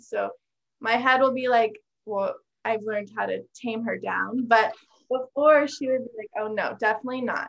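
Her pitch fairly high, a woman talks at a moderate pace with fairly even intonation. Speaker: podcast guest. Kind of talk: personal testimony.

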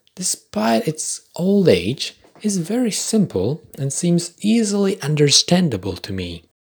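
Speaking at a fairly slow pace, a man with a high voice makes very wide pitch swings. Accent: Polish. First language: Polish. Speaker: podcast host. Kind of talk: scripted monologue.

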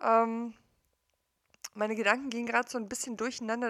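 Speaking at a fairly quick pace, a woman with a fairly high pitch uses monotone, flat intonation in a dry, close sound with no echo. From East Germany. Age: 40s. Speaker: coach / podcaster. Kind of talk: personal monologue. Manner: conversational, with many fillers.

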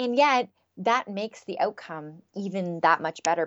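It is a plain, everyday voice with a Canadian accent. The intonation is lively. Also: woman. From Canada. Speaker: happiness researcher. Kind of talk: interview.

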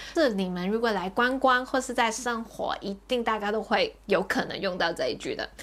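Speaking in a Hong Kong accent, a woman uses a fairly high pitch and lively intonation at a moderate pace. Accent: Hong Kong accented Mandarin. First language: Cantonese (speaking Chinese). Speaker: podcast host. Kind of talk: casual chat.

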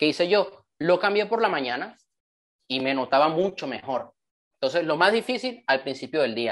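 Lively in his intonation, a man talks at a fairly high pitch against a quiet background. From Panama (born in Venezuela). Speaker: motivational speaker and author. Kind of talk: online training talk. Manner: animated.

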